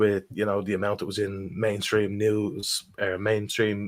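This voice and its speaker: In a strong Irish accent, a man speaks at a fairly low pitch on a very clean recording with a silent background. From Ireland. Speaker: crypto investor. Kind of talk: casual chat.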